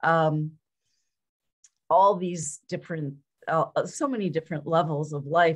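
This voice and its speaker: A woman talks at a fairly slow pace with long, frequent pauses. Her voice is somewhat breathy and fairly low, with fairly even intonation. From Quebec, Montreal. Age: 70s. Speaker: life coach. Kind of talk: casual interview. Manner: halting, many fillers and repeats.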